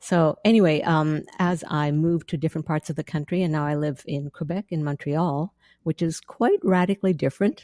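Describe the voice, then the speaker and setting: Speaking fairly quickly with hardly any pauses, a woman with a slight Canadian accent has a very deep, low voice, a dark, mellow tone and fairly even intonation, in a dry, close sound with no echo. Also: very clean recording, silent background. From central Canada prairies. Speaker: author and theologian. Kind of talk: podcast interview.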